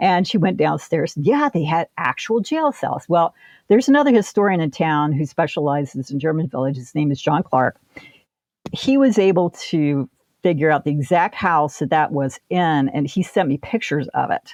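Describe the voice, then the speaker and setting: Dry and close with no echo, a woman speaks in a Midwestern American accent at a moderate pace, her fairly low pitch carried by lively intonation. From Ohio. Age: 60s. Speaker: author and local historian. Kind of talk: interview.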